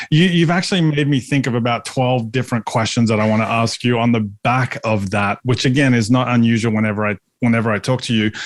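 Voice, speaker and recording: A man with an Australian accent speaks at a fairly quick pace, medium-pitched and with ordinary pitch variation. His loudness stays very even, and the recording is very clean with a silent background. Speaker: podcast host. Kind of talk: podcast interview.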